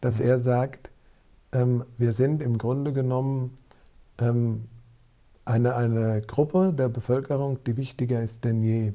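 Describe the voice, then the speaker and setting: At a fairly slow pace with long, frequent pauses, a man speaks in a dark, mellow tone at medium pitch with fairly even intonation. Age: 40s. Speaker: former priest and hunter. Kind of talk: podcast interview.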